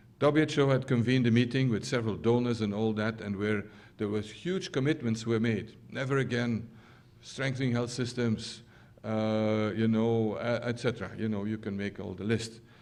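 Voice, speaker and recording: A moderate pace and fairly even intonation, with audible room echo. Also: man, medium pitch for a man. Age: 60s. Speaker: scientist. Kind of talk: lecture. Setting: stage with audience. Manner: halting, many fillers.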